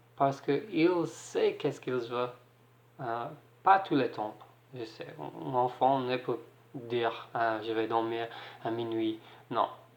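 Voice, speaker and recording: Speaking very slowly, a man with an English accent uses ordinary pitch variation. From Ireland. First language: English (speaking French). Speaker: single parent vlogger. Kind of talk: advice vlog. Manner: halting, hesitant.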